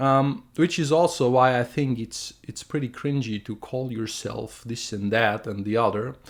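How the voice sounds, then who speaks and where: Someone with a German accent speaks at a fairly slow pace with hardly any pauses, on a very clean recording with a silent background. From Germany. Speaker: artist and video creator. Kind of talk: opinion monologue. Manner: halting, with fillers and restarts.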